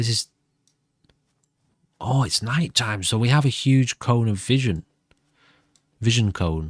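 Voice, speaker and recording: In a very clean recording with a silent background and a dry, close sound with no echo, a man speaks at a fairly slow pace in a somewhat breathy voice, with long, frequent pauses. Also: medium pitch for a man, ordinary pitch variation. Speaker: gaming YouTuber. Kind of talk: gameplay commentary.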